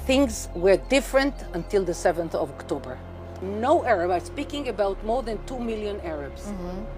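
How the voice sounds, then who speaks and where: Music plays in the background while the loudness swings widely. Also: woman, moderate pace. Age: 70s. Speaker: settler movement leader. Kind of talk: interview answer.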